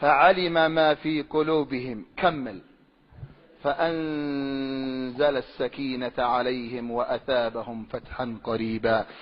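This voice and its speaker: At a very slow pace, a man speaks at a medium pitch with ordinary pitch variation. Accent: Sanaa. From Sanaa, Yemen. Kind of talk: religious argument, preaching. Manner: passionate, emphatic.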